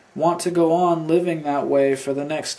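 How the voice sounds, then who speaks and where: Noticeable background noise sits behind a man with a fairly high pitch. He talks at a moderate pace in a monotone, flat intonation. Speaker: amateur reader. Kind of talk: audiobook reading.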